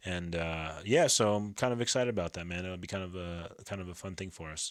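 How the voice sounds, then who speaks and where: A man's very deep, low voice with an American accent, fairly quick delivery, ordinary pitch movement and big shifts in loudness, on a very clean recording with a silent background. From northern New Jersey. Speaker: podcast host. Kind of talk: casual chat.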